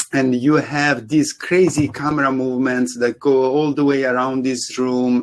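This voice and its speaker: With an Italian accent, a man is talking. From Italy. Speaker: CG supervisor and lighting artist panelist. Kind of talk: panel presentation.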